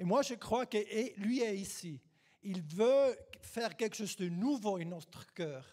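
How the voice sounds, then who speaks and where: In a non-native accent, a dark, mellow voice with lively intonation speaks at a very slow pace. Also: man, high pitch for a man. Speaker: guest preacher. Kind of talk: sermon. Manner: halting.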